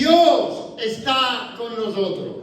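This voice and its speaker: Amid noticeable background noise and audible room echo, a man talks with very wide pitch swings. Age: 60s. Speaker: preacher. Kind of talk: sermon.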